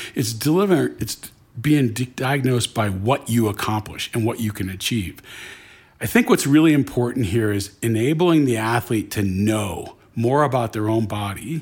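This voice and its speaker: Somewhat breathy, a man's voice moves at a moderate speed. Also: medium pitch for a man, ordinary pitch variation. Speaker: franchise company CEO. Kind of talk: interview. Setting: in person, on location.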